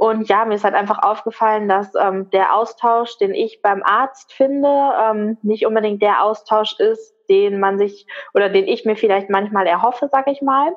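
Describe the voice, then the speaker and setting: A woman with a plain, everyday voice speaks at a moderate pace and fairly high pitch, with ordinary pitch variation, very even loudness and hardly any pauses. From Ruhr area, Germany. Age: 20s. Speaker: migraine patient sharing her story. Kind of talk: interview.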